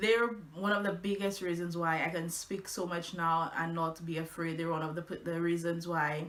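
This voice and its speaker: Fairly low female voice at a moderate pace, intonation fairly even, noticeable background noise throughout. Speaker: blogger. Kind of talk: casual vlog. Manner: halting, with fillers.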